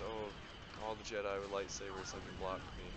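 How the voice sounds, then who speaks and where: Loud background noise around a man's voice, dry sound with no echo. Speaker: gamer commentator. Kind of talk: casual gameplay commentary. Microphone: headset.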